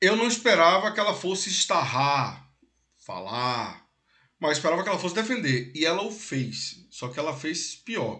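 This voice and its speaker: Animated and bright with a sharp edge, a man speaks at a moderate pace in a high voice that swings very widely in pitch. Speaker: political commentary host. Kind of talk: casual political discussion.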